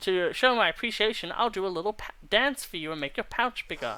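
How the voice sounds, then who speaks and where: A put-on character voice, fairly high in pitch, in a very clean recording with a silent background. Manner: silly, excited, theatrical.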